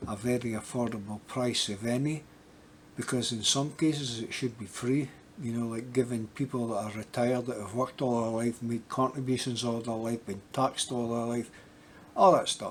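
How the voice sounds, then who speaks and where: With an American accent, a man at medium pitch speaks at a moderate pace with fairly even intonation. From Scotland. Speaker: YouTuber. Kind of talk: casual vlog update. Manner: halting, many fillers and repetitions.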